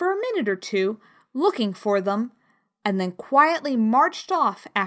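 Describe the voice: Someone reads a text aloud in a plain way. Little noise sits behind the voice.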